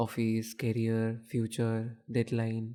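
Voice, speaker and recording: The man's pitch sits in the medium range. His tone is dark and mellow. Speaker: audio storyteller. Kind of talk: audio series announcement. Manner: nostalgic, reflective.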